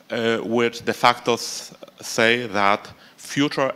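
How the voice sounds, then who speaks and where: Speaking at a medium pitch, a man talks with a Polish accent. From Poland. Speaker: think tank expert. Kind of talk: panel discussion. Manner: halting.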